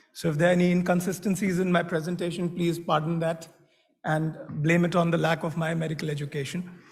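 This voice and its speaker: A man with a high voice is heard with audible room echo. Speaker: medical device executive. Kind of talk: conference talk.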